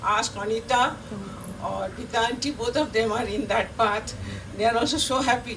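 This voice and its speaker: The speech has fairly even intonation, with noticeable background noise and audible room echo. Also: woman. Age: 80s+. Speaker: veteran Montessori teacher, award recipient. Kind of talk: acceptance speech. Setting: stage with audience. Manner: halting, repetitive.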